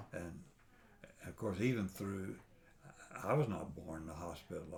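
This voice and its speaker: A man with a Texan accent, very deep and low in pitch, somewhat breathy, at a moderate pace with ordinary pitch variation and audible room echo. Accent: Texan Southern US. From East Texas. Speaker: grandfather telling his life story. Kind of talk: oral history interview.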